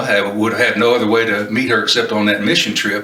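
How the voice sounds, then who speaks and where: Over noticeable background noise and audible room echo, a man with a Kentucky accent talks at a fairly quick pace and medium pitch. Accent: Southern US (Kentucky). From Kentucky (Paducah), US South. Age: 70s. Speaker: retired minister, volunteer Bible teacher. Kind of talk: interview, personal testimony. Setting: on location at recovery campus. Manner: halting, with frequent fillers.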